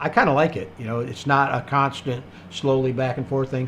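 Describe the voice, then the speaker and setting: At a moderate pace, a man with a medium pitch talks over noticeable background noise. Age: 60s. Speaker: livestream host, quail breeder. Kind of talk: live stream Q&A, reading chat comments. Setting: live stream. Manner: casual, many fillers.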